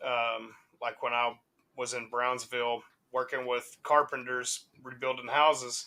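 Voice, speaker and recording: Speaking with a Southern US accent, a man with a medium pitch delivers his words at a fairly slow pace in a bright, sharp tone with monotone, flat intonation. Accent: Southern US, country. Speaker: hip hop podcast co-host. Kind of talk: casual chat. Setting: live stream.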